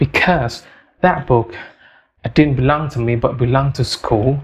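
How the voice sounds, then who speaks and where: A man with an Indonesian accent speaks at a fairly slow pace in a somewhat breathy voice. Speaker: English learner podcaster. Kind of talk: personal story monologue. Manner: halting, many fillers and repetitions.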